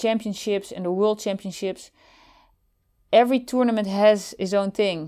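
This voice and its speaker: In a very clean recording with a silent background, a woman with a dark, mellow tone and medium pitch speaks at a moderate pace with fairly even intonation. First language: Dutch. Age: 50s. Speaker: former Olympic softball player. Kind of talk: interview. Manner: halting.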